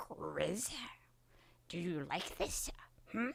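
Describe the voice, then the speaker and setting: A put-on character voice, raspy and fairly high-pitched, delivered in a playful tone. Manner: playful, mock-creepy.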